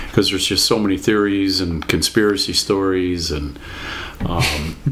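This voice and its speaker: With noticeable background noise and audible room echo, a man talks at a moderate pace in a very deep, low voice with fairly even intonation. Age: 60s. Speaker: podcast guest, grandfather. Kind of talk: casual chat. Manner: hesitant, with many ums.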